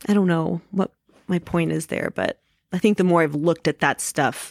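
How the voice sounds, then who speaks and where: Recorded very cleanly against a silent background, with a dry, close sound and no echo, a woman speaks in a plain, everyday voice, fairly low in pitch, with ordinary pitch variation. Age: 30s. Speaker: martial arts instructor. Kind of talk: casual chat.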